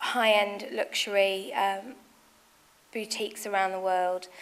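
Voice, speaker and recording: A woman with a Nottingham accent talks at a moderate pace with fairly even intonation. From England, Nottingham. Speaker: fashion designer and business founder. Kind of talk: speech at business event. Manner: hesitant, many fillers.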